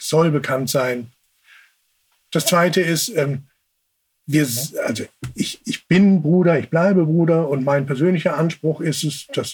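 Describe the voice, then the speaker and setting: This man's pitch is fairly high. It rises and falls in an ordinary way. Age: 40s. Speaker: sibling advocate. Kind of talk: interview. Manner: halting.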